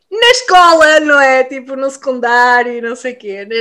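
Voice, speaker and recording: Against a silent background on a very clean recording, a woman speaks in a high, bright, sharp voice, animated in tone, with lively intonation at a fairly slow pace. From Portugal, Vila Real. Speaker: podcast co-host. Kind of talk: casual chat.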